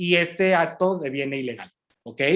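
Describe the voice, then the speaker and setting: This man has a high pitch with ordinary pitch variation. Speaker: customs lawyer lecturer. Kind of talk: lecture. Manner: halting, many repetitions and fillers.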